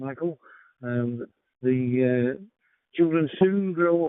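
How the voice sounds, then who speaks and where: A man with a British accent. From United Kingdom. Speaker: amateur radio operator. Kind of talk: radio net check-in. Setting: radio transmission. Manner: halting, many fillers.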